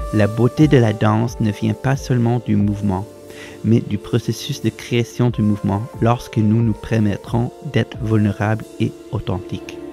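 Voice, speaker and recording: A man's medium-pitched voice at a fairly slow pace, with music in the background. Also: ordinary pitch variation. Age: 30s. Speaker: professional dancer. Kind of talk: inspirational bilingual voice-over message.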